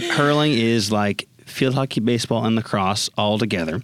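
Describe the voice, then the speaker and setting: A man at a moderate pace, with an unremarkable speaking voice and ordinary pitch variation. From Austin, Texas. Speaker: collegiate engagement manager. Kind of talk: casual interview chat.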